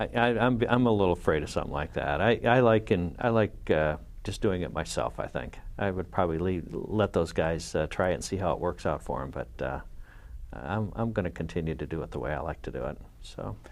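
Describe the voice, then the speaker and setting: Speaking fairly quickly, a man uses a very deep, low voice with vocal fry and very wide pitch swings. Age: 50s. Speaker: car collector and performance engineering executive. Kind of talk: casual chat. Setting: studio. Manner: halting, many fillers.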